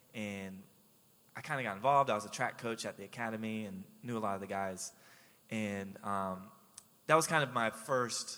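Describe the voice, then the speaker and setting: A fairly low-pitched man with an American accent, bright, sharp tone, fairly even intonation, moderate pace, and long, frequent pauses. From Jacksonville, Florida. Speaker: radio co-host and ministry worker. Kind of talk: casual chat. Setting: radio studio.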